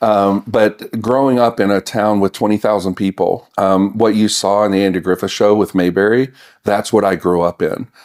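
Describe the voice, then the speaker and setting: In a very clean recording with a silent background, a man with an American accent uses a normal speaking voice, fairly low in pitch, at a moderate pace, with fairly even intonation and very even loudness. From US South, North Carolina (Mount Airy). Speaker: county chief information officer. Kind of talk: interview.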